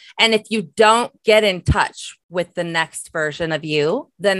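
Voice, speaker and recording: A woman speaks in a plain, everyday voice at a fairly low pitch with ordinary pitch variation. The sound is dry and close with no echo. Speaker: entrepreneur and author. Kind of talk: casual chat.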